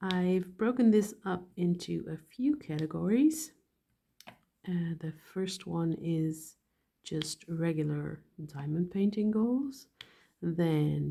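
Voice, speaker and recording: Speaking at a very slow pace with lively intonation, a woman with a non-native accent has a fairly low, somewhat breathy voice with a dark, mellow tone. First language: not English. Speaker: hobby YouTuber, dental hygienist. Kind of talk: casual chat while painting. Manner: halting, thinking while speaking.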